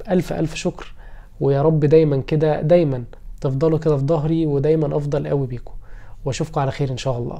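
A man with an Egyptian accent has a fairly high pitch and a dark, mellow tone. He moves at a moderate pace with fairly even intonation. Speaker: lawyer and YouTuber; lawyer, YouTuber. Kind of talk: personal vlog. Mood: warm, grateful, a bit wistful. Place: home room. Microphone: phone near.

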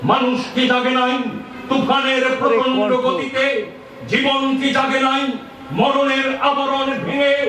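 A man's voice sits at an extremely high pitch, with noticeable noise in the background. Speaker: poetry reciter. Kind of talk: poetry reading. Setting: outdoors.

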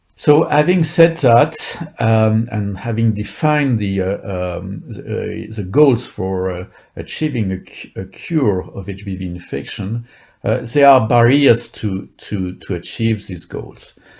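Someone speaks at a very slow pace against a quiet background. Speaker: speaker. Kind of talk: lecture. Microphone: video call.

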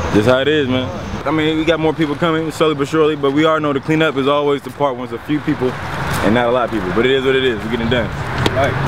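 A man with an American accent talks at a very fast pace. The sound is dry with no echo, though background noise is noticeable. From Columbia, Missouri. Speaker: event organizer. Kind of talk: casual chat. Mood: relaxed, resigned. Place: street.

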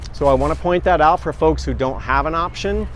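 A man at a moderate pace, with a dry sound and no echo. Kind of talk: tutorial. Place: market.

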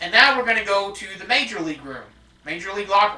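Intonation remains fairly even while the speaker is reading aloud in a natural voice.

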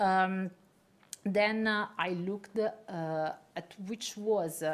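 A woman talks with fairly even intonation at a fairly low pitch. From Italy. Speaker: neuroscientist and journal editor; guest. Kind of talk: lecture. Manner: halting. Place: hall. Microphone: camera far.

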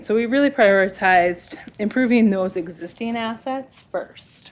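A woman with a normal speaking voice talks at a moderate pace, fairly high in pitch with ordinary pitch variation. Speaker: trail planning consultant. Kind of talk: presentation to county committee. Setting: government committee meeting.

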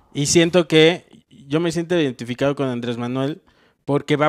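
A man with a Mexican accent, fairly high in pitch, with fairly even intonation over a quiet background. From Mexico. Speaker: comedian. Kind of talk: casual chat. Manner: slow. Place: home room. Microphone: handheld.

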